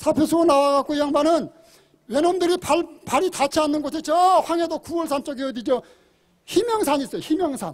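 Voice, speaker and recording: This man's pitch is extremely high, and his tone is animated. He talks at a fairly quick pace. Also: ordinary pitch variation. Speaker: event organizer and emcee. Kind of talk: public speech. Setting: outdoor rally. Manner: halting.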